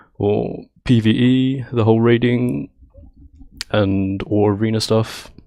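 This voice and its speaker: The voice carries a British accent. Its tone is dark and mellow. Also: man. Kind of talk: casual rambling talk about gaming. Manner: nervous, hesitant.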